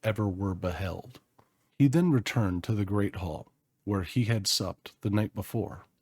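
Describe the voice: The delivery is plain reading aloud, its pitch varying in an ordinary way. Nothing can be heard behind it.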